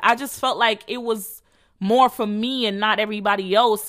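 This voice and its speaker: A woman speaks at a moderate pace with a fairly high pitch, ordinary pitch variation and an animated tone. Her tone is bright and sharp, and the recording is very clean with a silent background. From Jamaica. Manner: animated, casual.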